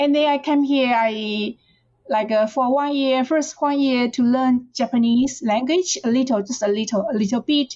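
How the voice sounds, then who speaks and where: A woman speaks in a high pitch with a Chinese accent. Her pace is moderate and her pitch varies in an ordinary way. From China, rural Fujian. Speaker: professor. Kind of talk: interview. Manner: halting, with repetitions.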